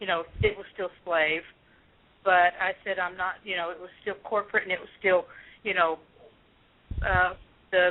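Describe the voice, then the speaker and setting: This woman speaks in a medium pitch, leaving long, frequent pauses. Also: moderate pace. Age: 60s. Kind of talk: testimony. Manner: animated.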